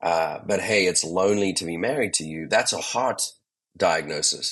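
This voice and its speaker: Animated in tone, a man with a very deep, low voice speaks at a moderate pace with ordinary pitch variation. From South Africa. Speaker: leadership coach. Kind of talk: podcast interview.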